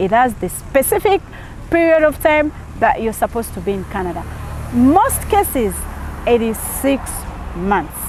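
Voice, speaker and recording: The speaker moves at a moderate pace with very wide pitch swings and long, frequent pauses over noticeable background noise. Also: woman, high pitch for a woman. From Uganda. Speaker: YouTube visa advice host. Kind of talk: tutorial. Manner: animated.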